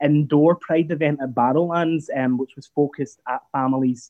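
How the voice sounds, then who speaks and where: A man talks at a moderate pace with ordinary pitch variation. He has an unremarkable speaking voice. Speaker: Pride event director. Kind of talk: interview.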